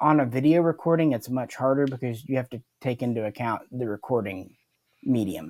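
A man with an American accent and a plain, everyday voice, at a medium pitch and a fairly quick pace, with ordinary pitch variation and a dry, close sound with no echo. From US South, Arkansas Ozarks. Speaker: firearms history YouTuber. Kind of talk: casual chat.

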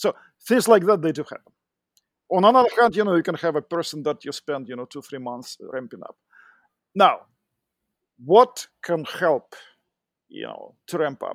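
In a very clean recording with a silent background and a dry, close sound with no echo, a man with a Russian accent speaks at a moderate pace with a high pitch and lively intonation. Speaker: tech entrepreneur. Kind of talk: interview. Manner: halting.

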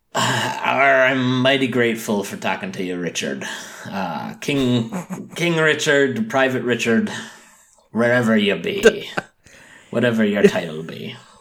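In a put-on character voice at medium pitch, a man speaks at a fairly slow pace with long, frequent pauses. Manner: pirate-style speech.

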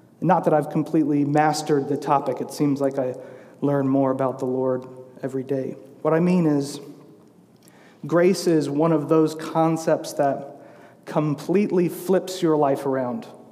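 A man with a fairly high pitch speaks at a moderate pace with fairly even intonation and long, frequent pauses. Room echo is audible. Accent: American. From Southern California, later St. Louis. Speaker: youth pastor, guest preacher. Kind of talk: sermon. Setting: church.

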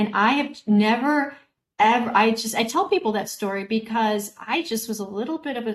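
A woman with an American accent speaks at a moderate pace in a fairly high, somewhat breathy voice with lively intonation. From US Midwest, Oak Park, Illinois. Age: 50s. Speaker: painter. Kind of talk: casual chat. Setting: video call.

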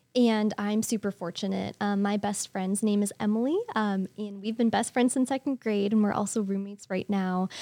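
On a very clean recording with a silent background and a dry, close sound with no echo, a woman with an American accent speaks at a moderate pace and medium pitch, her tone dark and mellow, her intonation fairly even and her pauses hardly any. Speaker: artist. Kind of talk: casual chat.

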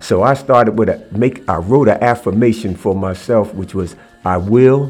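Music plays in the background as a man speaks. His pace is moderate and his pitch variation ordinary. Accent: American. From New Jersey. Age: 70s. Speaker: guest, former inmate and youth-awareness speaker. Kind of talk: interview, personal testimony. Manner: reflective, earnest.

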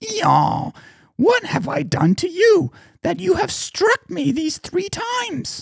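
At a fairly slow pace, the speaker puts on a character voice pitched fairly high. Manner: braying, complaining.

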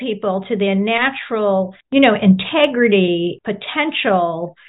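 A woman with an ordinary speaking voice, lively intonation and a fairly slow pace. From Boston area, US. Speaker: nonprofit founder and author. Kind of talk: interview.

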